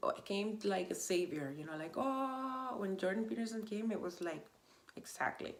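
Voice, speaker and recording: A woman with a Spanish accent talks at a moderate pace in an animated tone, her medium pitch swinging very widely over noticeable background noise. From Venezuela. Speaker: vlogger. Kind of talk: casual monologue. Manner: halting.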